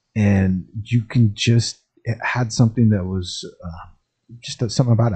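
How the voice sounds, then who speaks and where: A man talks at a fairly slow pace, his pitch fairly low and his tone dark and mellow, somewhat breathy. His American accent carries ordinary pitch variation. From Champaign-Urbana area, Illinois. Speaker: podcast host and entrepreneur. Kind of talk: casual monologue. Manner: casual, many filler words.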